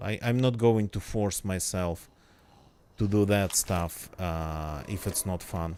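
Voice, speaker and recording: A man speaks with a non-native accent at a fairly low pitch. His pitch variation is ordinary. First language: not English. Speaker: gaming streamer. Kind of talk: casual live stream chat. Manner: hesitant, many fillers.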